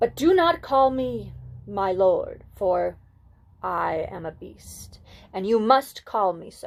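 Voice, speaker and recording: This is a put-on character voice. It goes at a very slow pace. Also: woman, medium pitch for a woman. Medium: read story. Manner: solemn, formal.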